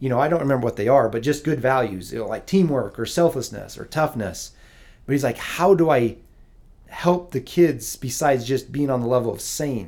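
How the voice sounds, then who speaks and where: Speaking at a fairly quick pace with vocal fry, a man with an American accent holds a medium pitch and ordinary pitch variation in a very clean recording with a silent background. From Utah, US (Provo). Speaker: basketball coach. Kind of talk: casual chat.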